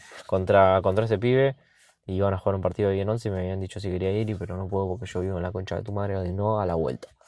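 Against a quiet background, a man with a fairly low pitch talks very fast in an Argentine accent. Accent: Rioplatense Argentine Spanish. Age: 20s. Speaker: podcaster. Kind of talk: casual solo monologue. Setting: in a car. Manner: halting, many fillers and repetitions.

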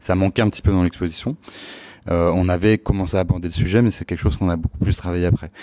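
Very fast and very deep, this man's voice has a dark, mellow tone and fairly even intonation. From Paris region (Palaiseau). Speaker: architect and start-up founder. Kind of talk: interview. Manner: hesitant, many fillers.

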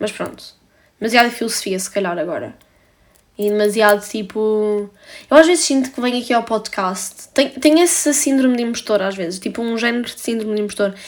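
A woman's fairly high voice, fairly quick in pace, with ordinary pitch variation. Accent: European Portuguese. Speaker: podcaster. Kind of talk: solo monologue, casual confessional. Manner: casual, filler-heavy.

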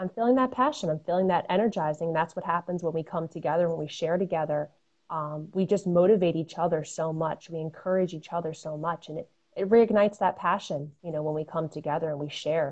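An ordinary speaking voice in an American accent, with ordinary pitch variation and a fairly quick pace. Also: woman, fairly low pitch for a woman. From Connecticut, Fairfield County. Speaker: runner and mental health advocate. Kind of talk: casual interview.

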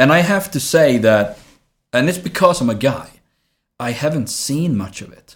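A man with a Swedish accent, fairly high pitch and lively intonation, at a moderate pace, with long, frequent pauses and big swings in loudness. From southern Sweden. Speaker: actor. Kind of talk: casual interview.

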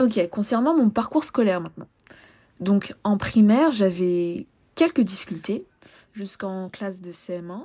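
A woman's medium-pitched voice, dark and mellow in tone, very slow in pace, with ordinary pitch variation, on a very clean recording against a silent background. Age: 20s. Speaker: podcast host, sociology student. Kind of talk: solo podcast monologue. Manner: casual, with frequent hesitations.

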